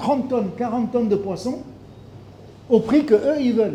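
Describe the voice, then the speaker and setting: A man's high-pitched voice with ordinary pitch variation and noticeable background noise. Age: 60s. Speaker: fisheries expert. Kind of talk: speech at a launch event.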